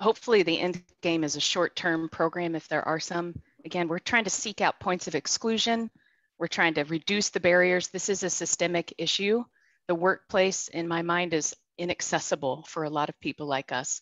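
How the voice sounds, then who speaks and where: In an unremarkable speaking voice, a woman talks at a fairly low pitch and moderate pace with ordinary pitch variation, in a dry sound with no echo over a quiet background. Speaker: product director; host, panel moderator. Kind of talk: panel discussion. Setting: video call. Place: home room. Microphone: video call.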